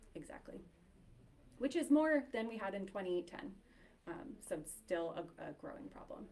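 At a moderate pace, a woman with a medium pitch and a dark, mellow tone uses very wide pitch swings and big swings in loudness, leaving long, frequent pauses. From New Hampshire, Nashua; New Hampshire. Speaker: public health educator. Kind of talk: public talk. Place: hall. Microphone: camera far.

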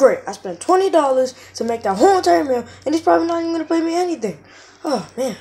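A high-pitched, cartoonish character voice at a fairly quick pace. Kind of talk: comic plush-puppet sketch acting. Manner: annoyed, complaining, boastful.

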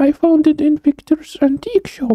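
A female-sounding voice puts on a character voice at a fairly slow pace. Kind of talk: reading in-game note aloud. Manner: affectionate.

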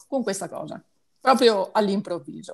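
A woman against a quiet background. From Italy. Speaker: patient, shop owner. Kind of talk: testimony. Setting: video call. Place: home room. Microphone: earbuds.

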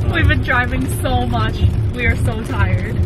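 Loud noise fills the background. The sound itself is dry with no echo. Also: woman. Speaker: travel vlogger. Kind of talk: casual vlog chat. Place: car. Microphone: phone near.

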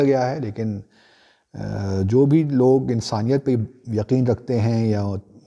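Dark and mellow, a man's voice keeps a fairly even intonation. The background is quiet. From Pakistan. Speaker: commentator answering viewer questions. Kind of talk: viewer Q&A commentary. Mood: serious, earnest appeal. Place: home room.

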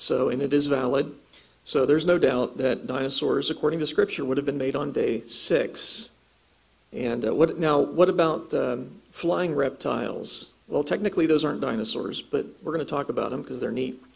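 At a moderate pace, a man with an American accent talks at a fairly high pitch with ordinary pitch variation. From Ohio, US Midwest. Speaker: creationist speaker and author; speaker. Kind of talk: lecture; Q&A answers. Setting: church conference with audience. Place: hall.

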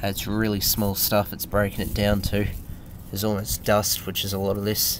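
In an Australian accent, a man speaks with monotone, flat intonation at a fairly low pitch. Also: moderate pace. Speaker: hobbyist builder. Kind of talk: casual talk to camera.

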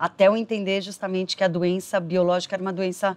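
A woman's medium-pitched voice at a fairly quick pace, flat and monotone throughout. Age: 30s. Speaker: documentary interviewee living with HIV, marketing professional; interviewee. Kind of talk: personal testimony interview. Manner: halting with frequent fillers. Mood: earnest, reflective. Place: garden.

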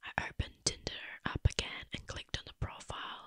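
This woman is whispering. The background is quiet. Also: dry sound with no echo. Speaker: storyteller. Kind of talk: horror story narration. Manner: whispered story dialogue, close mic. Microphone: studio mic.

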